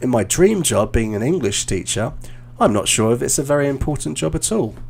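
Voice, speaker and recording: A man with a British accent speaks at a moderate pace with vocal fry. His voice sits at a medium pitch and swings very widely up and down. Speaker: English teacher and exam coach. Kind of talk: live stream feedback session. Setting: video call. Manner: halting.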